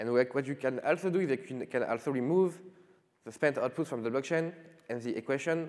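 A man talks at a fairly quick pace with lively intonation over a quiet background. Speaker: conference presenter. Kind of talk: lecture. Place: stage. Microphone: podium.

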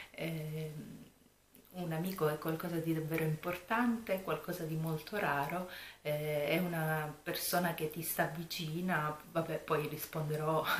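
Soft-spoken and very deep, low in pitch, a woman talks at a moderate pace with fairly even intonation, amid audible room echo and light background noise. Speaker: YouTuber, planner and craft vlogger; YouTuber, craft vlogger. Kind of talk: casual vlog chat. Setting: home room at night. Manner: soft-spoken, low voice. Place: home room. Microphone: camera far.

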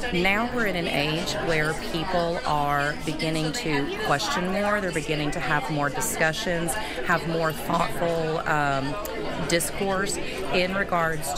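Crowd noise fills the background as the speaker goes at a fairly slow pace with ordinary pitch variation. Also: woman. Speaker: middle school teacher. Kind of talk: interview answer. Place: hall.

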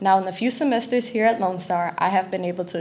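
A woman talks at a very fast pace, somewhat breathy. Light background noise can be heard. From Louisiana, Lafayette. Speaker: college student. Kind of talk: prepared speech. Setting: stage with audience. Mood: grateful, earnest. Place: hall. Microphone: podium.

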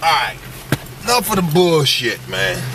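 A man talks fairly slowly in a dry, echo-free sound, with noticeable noise behind him. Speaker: comedian. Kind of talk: casual interview talk. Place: car.

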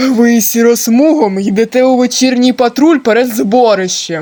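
A man puts on a character voice, pitched extremely high. He keeps a moderate pace. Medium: machinima. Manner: curt, commanding.

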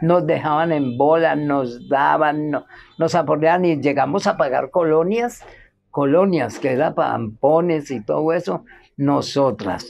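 A woman's very deep, low voice with vocal fry, ordinary pitch variation and a very slow pace. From Colombia, Cali. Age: 70s. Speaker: interviewee. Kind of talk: testimony. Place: garden.

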